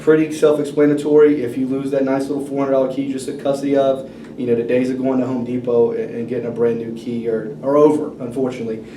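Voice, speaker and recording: Rushing at a very fast pace with hardly any pauses and fairly even intonation, the voice carries audible room echo and noticeable background noise. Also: man, medium pitch for a man. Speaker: car dealership finance manager. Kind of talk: role-play sales pitch.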